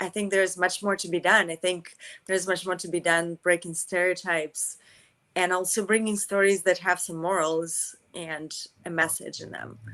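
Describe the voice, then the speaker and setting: On a very clean recording with a silent background, a woman with a slight Russian accent speaks at a medium pitch and moderate pace, her tone bright and sharp, her intonation monotone and flat, and her loudness swinging widely. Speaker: actress. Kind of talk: interview.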